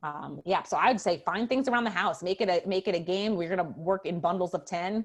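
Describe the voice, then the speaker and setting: Against a quiet background, a woman talks at a very fast pace in an animated tone, her fairly low pitch showing ordinary variation. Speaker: professor of special education. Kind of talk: webinar Q&A.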